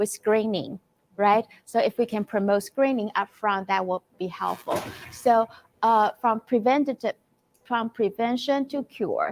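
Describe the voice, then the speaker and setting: A woman speaks with a Chinese accent at a fairly slow pace, her fairly high pitch showing ordinary variation. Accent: non-native, Chinese-accented English. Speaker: clinical psychologist. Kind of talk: conference presentation. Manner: halting, many fillers.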